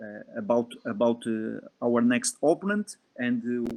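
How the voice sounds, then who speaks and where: A man with a Portuguese accent at a very slow pace. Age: 20s. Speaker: football performance analyst. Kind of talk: lecture. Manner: halting.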